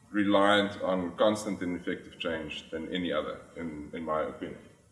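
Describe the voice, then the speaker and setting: A man with a South African accent, at a moderate pace, with audible room echo. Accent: South African (Afrikaans) English. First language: Afrikaans. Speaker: finance executive. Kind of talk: conference talk. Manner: hesitant, many filler sounds.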